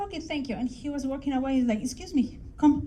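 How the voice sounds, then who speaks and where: A woman speaks with a Mexican accent at a high pitch. Her pace is moderate, and room echo is audible. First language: Spanish. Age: 40s. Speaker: English teacher. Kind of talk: conference talk. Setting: stage with audience.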